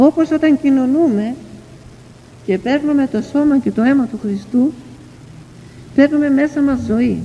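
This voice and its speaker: A woman's high-pitched voice at a fairly slow pace, with ordinary pitch variation and noticeable background noise. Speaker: elder, spiritual teacher. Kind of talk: devotional sermon and prayer reading. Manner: tender, emotional, earnest.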